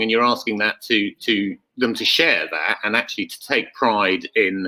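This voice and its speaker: This man's voice sits at a medium pitch with a bright, sharp tone. His intonation stays fairly even. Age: 60s. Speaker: company founder. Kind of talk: panel interview. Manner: hesitant, many fillers and repetitions.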